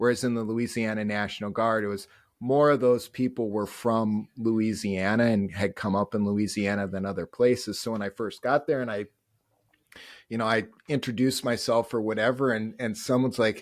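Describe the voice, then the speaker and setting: In a very clean recording with a silent background, a man with a strong Upper Midwest accent speaks at medium pitch with fairly even intonation. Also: moderate pace. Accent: thick upper Midwestern. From North Dakota, upper Midwest US. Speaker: Army National Guard and Reserve soldier. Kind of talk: interview conversation.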